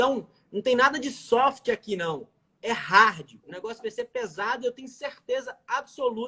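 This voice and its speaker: A raised, projected voice in a Minas Gerais accent, bright and sharp in tone, with ordinary pitch variation at a moderate pace. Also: man. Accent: mineiro (Minas Gerais). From Minas Gerais, Brazil. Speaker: criminal lawyer. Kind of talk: live stream interview.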